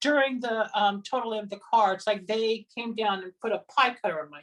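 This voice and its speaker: In a normal speaking voice, the talk goes at a moderate pace with ordinary pitch variation. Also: woman. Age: 60s. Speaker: psychic healer. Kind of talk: interview.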